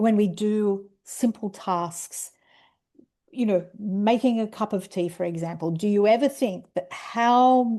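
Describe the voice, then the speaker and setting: In an Australian accent, a woman speaks at a very slow pace with a dark, mellow tone, a fairly high pitch and ordinary pitch variation over a quiet background. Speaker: educational program director, presenter. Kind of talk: webinar presentation. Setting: video call webinar with screen sharing.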